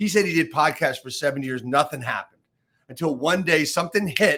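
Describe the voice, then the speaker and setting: A man with a bright, sharp tone at a very fast pace, ordinary pitch variation. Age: 60s. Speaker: real estate coach and podcast host. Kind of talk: casual interview chat.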